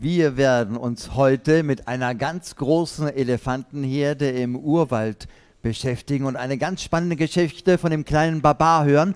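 A man at a fairly slow pace against a quiet background. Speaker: children's storyteller. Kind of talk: lively talk to children, streamed show. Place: stage. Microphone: headset.

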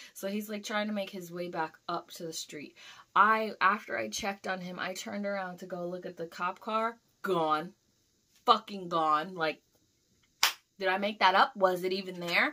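Against a quiet background, a woman speaks at a moderate pace in a bright, sharp, animated tone, with ordinary pitch variation and big swings in loudness. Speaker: YouTuber, delivery driver; vlogger. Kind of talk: casual vlog storytelling. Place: home room. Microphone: camera far.

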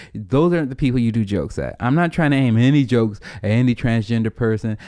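A man's voice carries a dark, mellow tone over a quiet background. He moves at a fairly quick pace with ordinary pitch variation. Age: 30s. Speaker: comedian and podcast host. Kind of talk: casual chat. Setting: at home. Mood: earnest, motivational. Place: home room. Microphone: studio mic.

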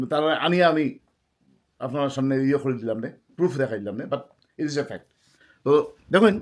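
Here a man speaks in an ordinary speaking voice. It sits fairly high, with ordinary pitch variation. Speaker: vlogger. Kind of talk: storytelling monologue.

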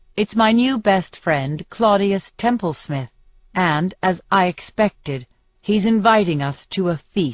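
Lively intonation colors the reading, delivered in an unforced voice.

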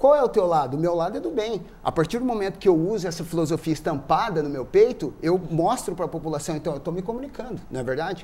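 The tone is dark and mellow. Words come at a very fast pace with hardly any pauses. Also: man, high pitch for a man, lively intonation. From Brazil, Cascavel (Paraná); Paraná, Brazil. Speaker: journalist. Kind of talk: interview. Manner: animated. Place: studio.

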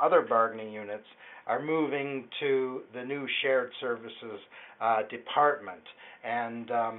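A man speaks at a fairly slow pace. His intonation is fairly even. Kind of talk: answer to a caller's question. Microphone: phone line.

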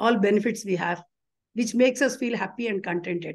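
A woman with an Indian accent speaks at a fairly quick pace. Her voice sits fairly high, with ordinary pitch variation. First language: Telugu. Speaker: retired bank employee and union leader. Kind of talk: interview.

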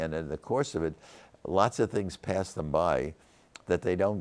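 Vocal fry marks a man's voice as he speaks at a moderate pace with ordinary pitch variation. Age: 80s+. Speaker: venture capitalist. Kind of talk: interview answer. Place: studio. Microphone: lapel.

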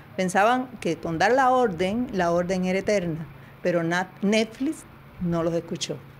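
Speaking at a fairly slow pace, a woman with a medium pitch uses lively intonation over light background noise. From Cuba. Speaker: interviewee, wife of former agent; interviewee. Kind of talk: interview. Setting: video call. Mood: firm, defiant. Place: home room. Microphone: handheld.

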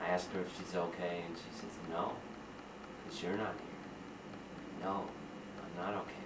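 A man at a fairly slow pace amid loud background noise. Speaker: poet. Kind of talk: poetry reading.

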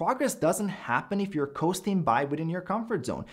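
A man's speech moves at a moderate pace, and the background is quiet. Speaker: fitness coach. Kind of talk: commentary. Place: home room.

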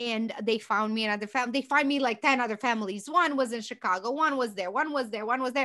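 Against a quiet background, a woman with a Romanian accent speaks very fast with hardly any pauses, her high-pitched voice bright and sharp in tone, with ordinary pitch variation. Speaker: business founder and CEO; podcast guest. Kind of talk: podcast interview answer. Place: home room. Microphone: studio mic.

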